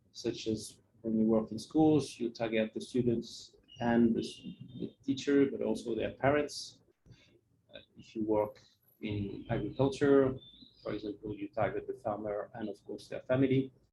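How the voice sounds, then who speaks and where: A man with a non-native accent speaks at a moderate pace, his loudness swinging widely. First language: not English. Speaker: NGO project worker giving a talk. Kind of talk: presentation. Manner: halting, many fillers.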